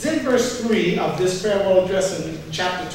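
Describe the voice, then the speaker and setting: Amid light background noise and strong room echo, a man with a high pitch speaks at a moderate pace. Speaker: pastor. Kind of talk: sermon. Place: church.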